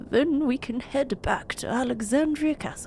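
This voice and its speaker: A woman uses a high-pitched put-on character voice at a moderate pace, with clear background noise. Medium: game stream. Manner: stiff, formal and blustering.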